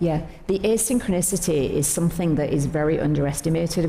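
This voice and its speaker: A woman's very deep, low voice at a fairly quick pace, fairly even in intonation, with audible room echo and noticeable background noise. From not Australia. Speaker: company executive. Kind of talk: onstage interview.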